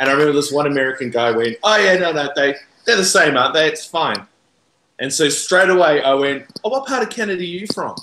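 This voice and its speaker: Talking at a very fast pace, a man with a New Zealand accent has a fairly high pitch, a bright, sharp tone and lively intonation. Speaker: podcaster. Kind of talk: casual chat. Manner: animated.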